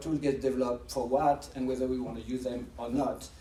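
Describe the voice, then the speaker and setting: Audible room echo surrounds a man speaking with a strong French accent. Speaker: professor and AI researcher. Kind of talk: lecture. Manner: fast; halting, with frequent restarts.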